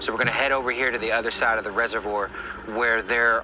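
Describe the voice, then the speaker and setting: There is noticeable background noise behind this man. His medium-pitched voice has monotone, flat intonation. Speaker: search and recovery diver. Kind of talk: on-location search narration. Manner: quiet, hushed.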